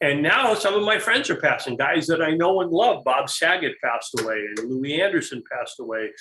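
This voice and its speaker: A man speaks at a fairly quick pace in a high voice, with hardly any pauses. His pitch swings very widely. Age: 60s. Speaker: comedian. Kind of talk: casual chat. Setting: talk show. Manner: halting.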